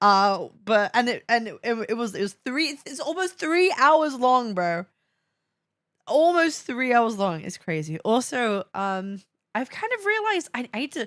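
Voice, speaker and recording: A woman's high, animated voice with a Welsh accent, at a fairly slow pace, with very wide pitch swings and big swings in loudness. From Wales. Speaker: VTuber streamer. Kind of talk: casual live stream chat. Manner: animated, halting with repetitions; trying a softer voice.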